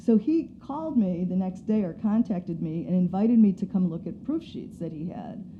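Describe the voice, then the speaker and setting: A woman speaks at a moderate pace with a somewhat breathy, medium-pitched voice, lively intonation, big swings in loudness and hardly any pauses. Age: 60s. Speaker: photography professor and author. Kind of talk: casual interview chat.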